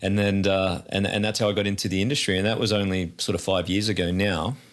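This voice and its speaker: A man with an Australian accent, fairly low in pitch, very fast in pace, with fairly even intonation and very even loudness. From Australia, north of Sydney. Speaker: theme park president. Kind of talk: interview. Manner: repeats words often.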